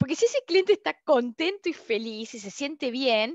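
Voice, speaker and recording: Against a quiet background, a woman with an Argentine accent speaks at a moderate pace with very wide pitch swings, in a dry sound with no echo. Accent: Argentine Spanish (Rioplatense). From Argentina. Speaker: customer experience consultant and instructor; instructor. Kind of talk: online open class / webinar. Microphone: headset.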